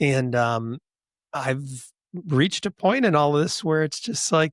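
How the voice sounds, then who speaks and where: With a Western New York accent, the speaker goes at a very slow pace with lively intonation, in a dry, close sound with no echo. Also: man, fairly high pitch for a man. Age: 60s. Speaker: podcast host. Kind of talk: interview conversation.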